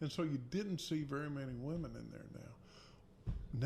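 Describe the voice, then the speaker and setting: The speaker talks at a very slow pace. Audible room echo is present. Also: man. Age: 70s. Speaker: radio show host. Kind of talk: casual chat. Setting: studio.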